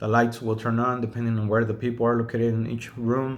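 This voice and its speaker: Talking at a fairly quick pace in a medium pitch, a man with a Spanish accent is heard with audible room echo. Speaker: self-taught drafter and home builder. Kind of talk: casual video monologue. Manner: hesitant, with fillers.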